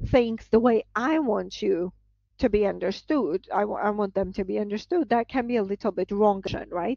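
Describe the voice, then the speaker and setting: A woman speaks in a Georgian accent at a fairly high pitch with ordinary pitch variation. The background is quiet. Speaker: professor. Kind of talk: lecture. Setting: video call.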